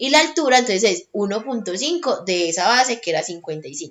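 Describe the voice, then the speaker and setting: Here a woman talks at a very fast pace. Her pitch is fairly high. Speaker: tutor. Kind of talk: tutorial.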